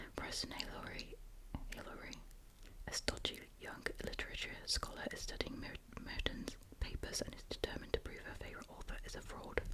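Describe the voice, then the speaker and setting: Fairly quick whispering from a woman, with noticeable background noise around her. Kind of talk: reading a book blurb aloud in ASMR style. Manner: whispered, soft-spoken.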